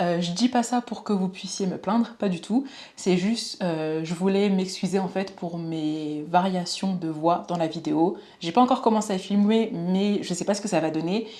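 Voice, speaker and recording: A woman at a medium pitch and fairly slow pace, dark, mellow tone, ordinary pitch variation. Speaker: true crime youtuber. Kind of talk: true crime narration.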